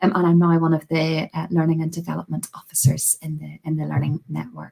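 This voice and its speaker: A woman speaks with a strong Belfast accent. Her loudness swings widely. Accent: Belfast accent, strong but slowed down. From Northern Ireland, Belfast. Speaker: Methodist deacon. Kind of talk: podcast interview.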